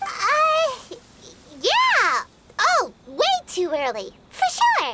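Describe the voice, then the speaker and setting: A squeaky, put-on character voice sits at an extremely high pitch. It moves at a very slow pace with very wide pitch swings. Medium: video game.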